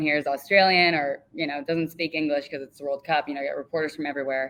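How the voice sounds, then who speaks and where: With an American accent, a woman talks in a very deep, low pitch with ordinary pitch variation. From California. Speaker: student sports reporter. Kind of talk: casual interview chat. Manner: casual, filler-heavy.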